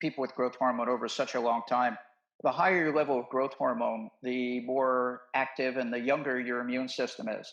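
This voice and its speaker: His voice sits at a medium pitch, an unremarkable speaking voice with fairly even intonation. The man talks at a moderate pace. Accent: American. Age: 60s. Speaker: medical doctor. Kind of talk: interview conversation.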